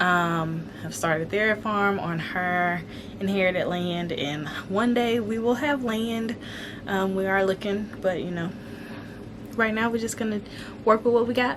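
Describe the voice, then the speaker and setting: Audible room echo and noticeable background noise surround a woman speaking at a medium pitch. Her pace is fairly slow, and her pitch varies in an ordinary way. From Alabama. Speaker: homesteading vlogger. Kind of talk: casual vlog chat. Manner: conversational with frequent fillers.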